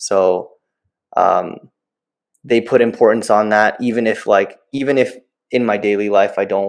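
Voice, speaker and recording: A man with a medium-pitched voice speaks at a fairly slow pace, leaving long, frequent pauses, his intonation fairly even. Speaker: game developer. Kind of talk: interview. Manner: rambling, filler-heavy.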